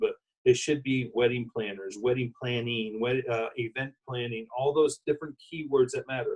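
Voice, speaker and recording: A man talks at a moderate pace, his medium-pitched voice somewhat breathy and his intonation fairly even. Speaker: wedding industry consultant. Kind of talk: interview.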